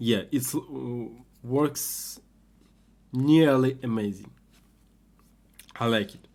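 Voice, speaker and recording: At a very slow pace, a man speaks in a medium pitch with ordinary pitch variation and long, frequent pauses. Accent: non-native. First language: not English. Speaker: hobbyist maker, video creator. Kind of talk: tutorial. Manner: halting, many fillers.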